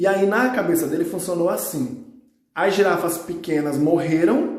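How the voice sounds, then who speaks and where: Over noticeable background noise and audible room echo, a man with a high pitch and lively intonation talks at a moderate pace. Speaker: biology teacher. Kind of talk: recorded lesson.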